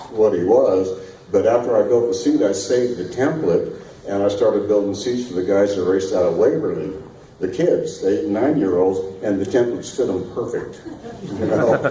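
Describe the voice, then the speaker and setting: A man talks at a moderate pace over noticeable background noise and audible room echo. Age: 70s. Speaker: race car seat builder. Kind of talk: interview. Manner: casual, hesitant with fillers.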